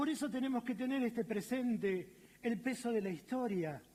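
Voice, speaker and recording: A man with a Rioplatense accent, extremely high in pitch yet dark and mellow in tone, at a fairly slow pace with ordinary pitch variation. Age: 60s. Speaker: pastor. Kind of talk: sermon. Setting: church auditorium, livestreamed.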